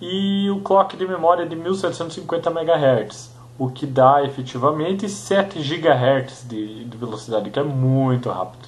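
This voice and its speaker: A man at a fairly slow pace with lively intonation, audible room echo and noticeable background noise. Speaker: tech YouTuber. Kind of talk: casual tech review monologue. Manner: halting, many fillers.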